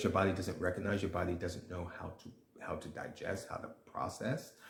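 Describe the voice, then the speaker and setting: A man with an American accent, somewhat breathy, at a moderate pace. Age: 60s. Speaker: nutritionist. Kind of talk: casual vlog talk. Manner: hesitant, many fillers and restarts.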